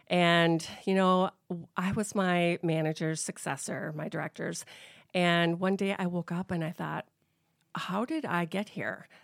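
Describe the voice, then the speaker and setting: The speaker uses a normal speaking voice with an American accent, fairly even intonation and a fairly slow pace. The recording is very clean with a silent background, dry and close with no echo. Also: woman, fairly low pitch for a woman. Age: 50s. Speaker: business owner. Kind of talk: interview. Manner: casual, conversational.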